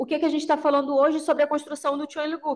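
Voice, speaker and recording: A woman speaks against a quiet background. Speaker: sustainability consultant giving a talk at a church service. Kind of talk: lecture-style talk at a Sunday service. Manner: halting, many fillers.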